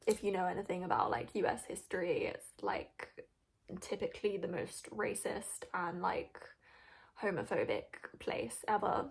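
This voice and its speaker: Fairly slow speech from a woman in a British accent. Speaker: video reaction commentator. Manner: casual, chatty, hesitant with fillers.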